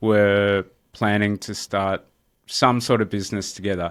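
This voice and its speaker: With an Australian accent, a man talks in a fairly low pitch. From Australia, Melbourne. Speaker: real estate entrepreneur. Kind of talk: interview. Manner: casual, many fillers.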